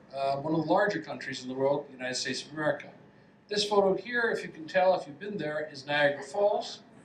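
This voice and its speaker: With a Canadian accent, a man talks at a fairly quick pace with ordinary pitch variation and big swings in loudness, over noticeable background noise and audible room echo. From Canada, west coast. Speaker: professor. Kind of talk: lecture. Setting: lecture hall with audience.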